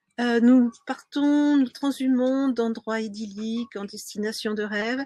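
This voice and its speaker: A woman with a plain, everyday voice and a fairly high pitch speaks at a fairly slow pace with ordinary pitch variation, in a dry, close sound with no echo. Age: 60s. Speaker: sailing coach. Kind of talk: webinar presentation. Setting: live stream.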